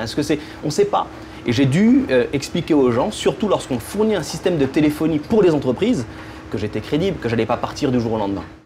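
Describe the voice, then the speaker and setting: Over noticeable background noise, a man talks at a very fast pace with lively intonation. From French Caribbean. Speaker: entrepreneur, telephony company founder. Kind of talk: interview. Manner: hesitant, with repetitions.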